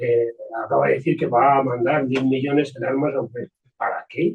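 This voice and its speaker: His voice is somewhat breathy and fairly high in pitch. The man speaks at a moderate pace. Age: 70s. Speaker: audience member at a debate. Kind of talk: panel discussion. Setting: meeting room with audience. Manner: halting. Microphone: too quiet.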